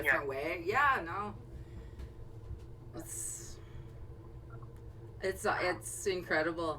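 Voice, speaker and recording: Amid noticeable background noise, a woman speaks at a very slow pace with long, frequent pauses. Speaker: radio host interviewing a caller. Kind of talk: casual interview talk.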